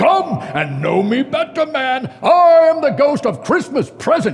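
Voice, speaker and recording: In a put-on character voice, a man speaks at an extremely high pitch. His pace is fairly slow. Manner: hearty, jovial.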